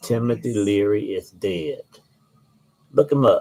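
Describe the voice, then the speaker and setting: Speaking at a fairly slow pace, a man talks. He has an Alabama accent. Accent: Southern US (Alabama). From Alabama, US South. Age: 60s. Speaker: author and channel host. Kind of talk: casual monologue and book reading.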